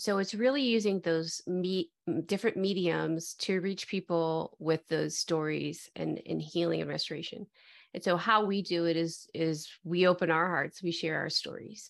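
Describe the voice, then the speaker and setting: A woman with an American accent and a normal speaking voice, fairly low in pitch, with ordinary pitch variation, a moderate pace, hardly any pauses and a quiet background. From US Midwest, Metro Detroit. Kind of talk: interview conversation.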